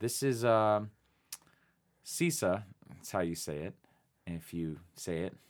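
Using lively intonation, a man with a fairly low pitch talks at a very slow pace with long, frequent pauses. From Phoenix, Arizona. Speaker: musician and music writer. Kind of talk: casual interview chat.

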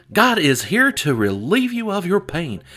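Putting on a character voice, a man speaks at a high pitch and moderate pace in a raised, projected voice. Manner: theatrical, preaching.

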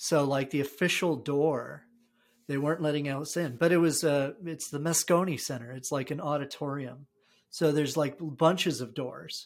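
On a very clean recording with a silent background, a man with an American accent speaks at a fairly high pitch. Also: fairly even intonation, moderate pace. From New Jersey. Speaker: podcast host and design leader. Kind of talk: casual chat. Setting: his house. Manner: halting, many fillers.

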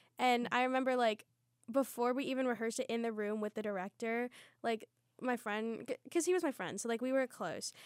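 Recorded very cleanly with a silent background and a dry, close sound with no echo, a woman with an American accent and a high pitch speaks in an animated tone with ordinary pitch variation. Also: fairly quick pace. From Lancaster County, Pennsylvania. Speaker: musical theatre student. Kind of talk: casual chat. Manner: animated, giggly.

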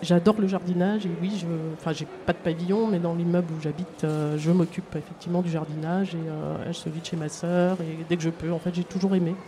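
Noticeable background noise accompanies a woman speaking at a fairly quick pace. Her fairly low voice stays monotone, with flat intonation. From France, Seine-et-Marne. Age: 50s. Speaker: project proposer, city cleaning services worker. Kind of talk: live radio interview. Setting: outdoors at a market. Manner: halting.

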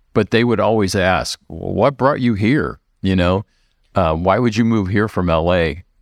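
A man with an American accent and a plain, everyday voice, fairly low in pitch, at a moderate pace with ordinary pitch variation, in a dry, close sound with no echo over a quiet background. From US Midwest, suburbs of Chicago. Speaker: pastor. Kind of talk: casual chat.

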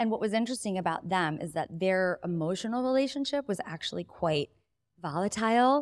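With lively intonation, a woman talks at a moderate pace in a dry, close sound with no echo. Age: 40s. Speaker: entrepreneur and author. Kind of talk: casual chat; guided ritual.

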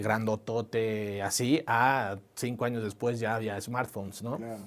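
A man's unremarkable speaking voice at a medium pitch and a moderate pace. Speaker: entrepreneur, startup founder. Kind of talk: interview conversation.

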